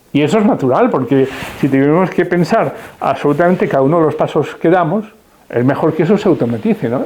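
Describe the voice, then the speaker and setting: A man's fairly high voice moves at a fairly quick pace, with noticeable background noise around it. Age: 70s. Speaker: retired philosophy professor. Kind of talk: interview. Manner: hesitant, with many fillers.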